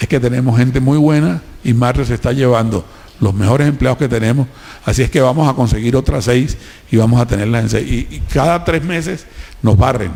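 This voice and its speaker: A man with a Colombian Caribbean accent talks at a fairly quick pace and a medium pitch, with ordinary pitch variation. His loudness stays very even, and there is noticeable background noise. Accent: costeño. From Colombian Caribbean coast, Cartagena. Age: 70s. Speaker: businessman. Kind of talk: public talk. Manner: animated.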